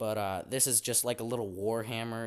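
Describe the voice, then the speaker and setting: The recording is very clean, with a silent background. A man speaks in a fairly low pitch. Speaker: YouTuber showing his homemade weapons and workshop. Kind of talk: casual show-and-tell vlog. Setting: home workshop. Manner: stutters a lot, repeats words.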